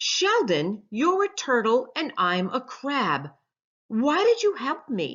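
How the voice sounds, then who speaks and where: A woman bellows loudly in a high-pitched, put-on character voice at a fairly slow pace. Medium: read story. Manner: loud, bellowing.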